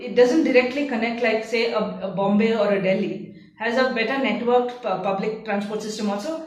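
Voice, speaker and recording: With noticeable background noise and audible room echo, a woman in a Tamil accent talks at a moderate pace, her fairly high pitch showing ordinary variation. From India, Bangalore. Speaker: curator. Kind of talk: interview monologue. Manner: hesitant, with fillers.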